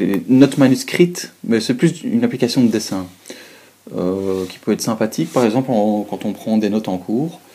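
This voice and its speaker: A man with a Belgian accent, a dark, mellow tone, and lively intonation. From Belgium. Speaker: student. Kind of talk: product review talk to camera. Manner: hesitant, many fillers.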